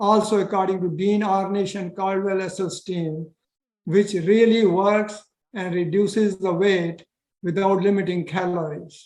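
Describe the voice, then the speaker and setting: Fairly slow, monotone speech from a high-pitched man with flat intonation. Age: 80s+. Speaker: retired cardiologist and health author. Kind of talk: interview. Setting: video call.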